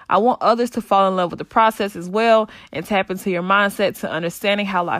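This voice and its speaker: A woman at a medium pitch talks at a fairly quick pace with fairly even intonation, recorded very cleanly against a silent background in a dry, close sound with no echo. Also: hardly any pauses. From US South, rural North Carolina. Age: 20s. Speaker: podcast host, personal trainer. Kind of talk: solo podcast monologue.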